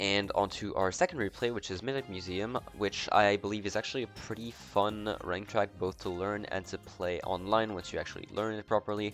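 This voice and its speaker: Music plays behind a man speaking. His intonation is fairly even, with hardly any pauses. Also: fairly low pitch for a man, fairly quick pace. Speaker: video game commentator. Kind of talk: casual gameplay commentary.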